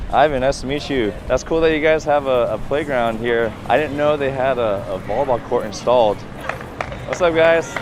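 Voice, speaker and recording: Over noticeable background noise, a man with a Californian accent and a fairly high pitch speaks at a moderate pace in an upbeat tone, with ordinary pitch variation. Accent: American (California). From San Francisco Bay Area, US. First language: Cantonese. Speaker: volleyball coach and vlogger. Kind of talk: vlog tour. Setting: outdoors. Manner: casual, upbeat.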